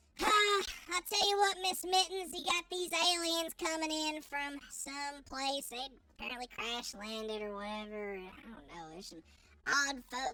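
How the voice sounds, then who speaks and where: A put-on character voice sits at a high pitch and jumps through very wide pitch swings. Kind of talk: cowboy talk. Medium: actual play. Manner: folksy, drawling.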